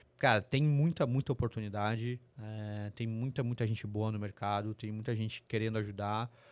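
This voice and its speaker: A very clean recording over a silent background, the intonation fairly even. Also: man, fairly low pitch for a man. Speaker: corporate sustainability executive. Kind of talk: interview podcast. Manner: fast.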